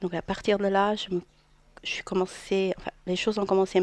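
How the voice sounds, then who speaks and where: A woman speaks with a medium pitch. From Portugal. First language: Portuguese (speaking French). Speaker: therapist. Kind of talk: radio interview.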